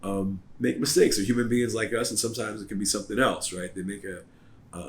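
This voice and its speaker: A man speaks very fast in a somewhat breathy voice. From US Midwest, Southwest Ohio. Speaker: lawyer. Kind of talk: informal legal advice talk to camera. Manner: casual, many fillers and repetitions.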